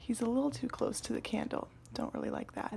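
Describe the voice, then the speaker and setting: A soft-spoken woman whispering in a relaxed tone, somewhat breathy. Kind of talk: ASMR scroll-through, casual talk to camera. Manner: soft-spoken, whispery, relaxed.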